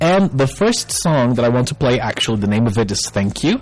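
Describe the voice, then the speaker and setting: This man's voice sits at a medium pitch. Behind him, music plays. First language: Spanish. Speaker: English teacher / language show host. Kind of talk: live-streamed educational talk. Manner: hesitant, many fillers.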